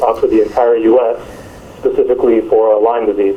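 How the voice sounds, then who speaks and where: With a New Jersey accent, a man talks over noticeable background noise. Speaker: medical marketing manager. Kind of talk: interview.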